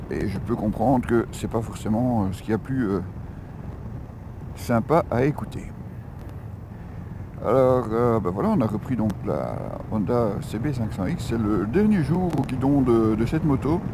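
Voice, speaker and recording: The speech moves at a fairly slow pace with long, frequent pauses. Pitch variation is ordinary, and background noise is noticeable. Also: man, medium pitch for a man. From Belgium. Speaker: motorcycle vlogger. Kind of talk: motovlog review while riding. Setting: riding a motorcycle, helmet intercom. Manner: hesitant, many filler sounds. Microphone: helmet intercom mic, in-helmet, crackling.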